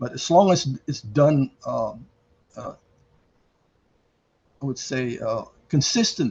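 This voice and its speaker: This man's voice sits at a fairly high pitch. It comes across as somewhat breathy. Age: 80s+. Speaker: mechanical engineer and cyclist. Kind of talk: interview answer.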